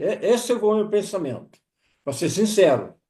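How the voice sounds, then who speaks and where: This man's voice has a high pitch. His tone is dark and mellow. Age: 70s. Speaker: testimonial guest. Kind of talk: testimony.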